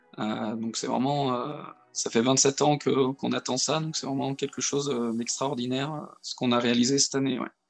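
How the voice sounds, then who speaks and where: Monotone, flat male voice at medium pitch and a moderate pace. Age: 30s. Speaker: amateur football coach. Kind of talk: podcast interview. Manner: hesitant, many fillers.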